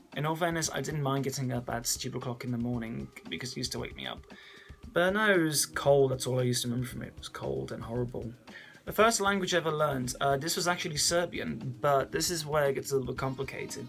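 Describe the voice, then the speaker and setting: A man with an English accent speaks at a very fast pace with a medium pitch. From England. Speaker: vlogger. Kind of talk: casual chat.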